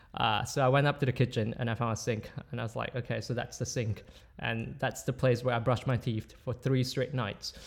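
A man at medium pitch, fairly quick, with vocal fry and monotone, flat intonation, on a very clean recording with a silent background. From Malaysia. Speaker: graduate student. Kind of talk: casual chat.

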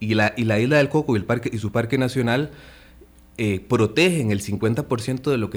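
A man with a medium pitch and a plain, everyday voice speaks at a moderate pace with ordinary pitch variation. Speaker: conservation foundation representative. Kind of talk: radio interview.

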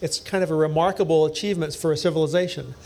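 An ordinary speaking voice, a man with an American accent talks at a fairly quick pace and a fairly high pitch. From US East Coast. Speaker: engineering professor. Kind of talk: panel discussion before live audience. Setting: basement bar venue with live audience.

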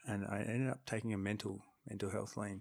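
Speaking at a fairly quick pace, a man with an Australian accent uses a fairly low pitch and fairly even intonation. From Australia, Darwin. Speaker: podcaster and photographer. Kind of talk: casual interview. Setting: studio.

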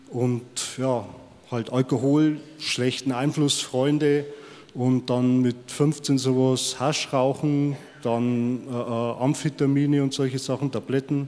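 A man speaks very slowly at a medium pitch. His intonation is monotone and flat. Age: 50s. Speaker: former prisoner. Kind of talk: testimony.

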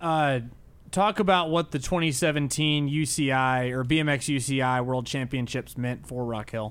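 On a very clean recording with a silent background, a man at medium pitch speaks at a moderate pace with ordinary pitch variation, in an unremarkable speaking voice. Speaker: podcast co-host.

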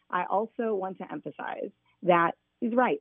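A woman with a Midwestern American accent. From Indiana (Fort Wayne). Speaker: school principal and political candidate. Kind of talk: radio interview. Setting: phone call.

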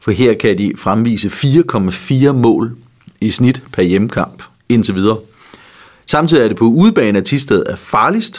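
A man with a plain, everyday voice speaks at a fairly slow pace and medium pitch, his intonation lively. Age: 60s. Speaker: betting tipster co-host. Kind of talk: casual chat.

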